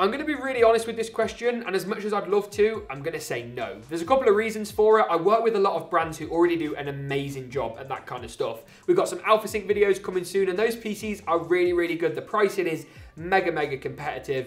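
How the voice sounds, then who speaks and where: A man with an English accent speaks in a high pitch with lively intonation at a very fast pace. He takes hardly any pauses, and there is noticeable background noise. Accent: English accent, slightly exaggerated on video. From England. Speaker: tech YouTuber, PC builder. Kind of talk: casual Q&A. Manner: animated.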